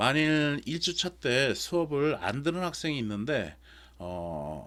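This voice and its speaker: Very wide pitch swings run through the speech of a man. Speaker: university lecturer. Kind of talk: online lecture. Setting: recorded remote lecture.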